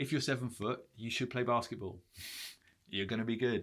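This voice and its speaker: A man talks at a fairly quick pace and medium pitch. His intonation is fairly even, on a very clean recording with a silent background. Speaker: branding consultant. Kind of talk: tutorial. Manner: fast; casual, filler-heavy.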